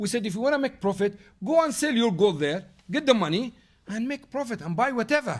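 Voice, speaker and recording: In an Arabic accent, a man with a high pitch talks at a fairly quick pace with lively intonation. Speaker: Islamic teacher. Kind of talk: lecture with Q&A. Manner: loud; halting.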